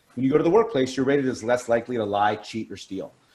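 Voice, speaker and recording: A man with an American accent, medium pitch and lively intonation. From Pittsburgh, US. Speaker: positive psychology speaker. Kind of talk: webinar talk. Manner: fast.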